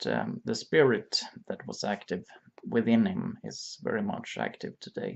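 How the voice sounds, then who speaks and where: Here a man speaks in a Swedish accent. His pace is very slow. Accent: Swedish accent, self-described bad English. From Sweden. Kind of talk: religious reflection monologue. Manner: halting, many fillers.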